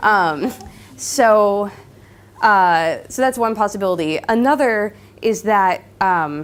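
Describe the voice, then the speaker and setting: Talking at a very slow pace with a Californian accent, a woman uses ordinary pitch variation. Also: medium pitch for a woman, very clean recording, silent background. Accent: Californian American English. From Southern California. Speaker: linguistics PhD student. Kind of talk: lecture with Q&A. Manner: hesitant, many fillers.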